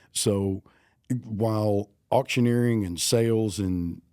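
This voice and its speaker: Here a man with an American accent speaks with a fairly low pitch, a dark, mellow tone and fairly even intonation. The recording is very clean, with a silent background. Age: 60s. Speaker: auctioneer. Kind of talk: casual chat.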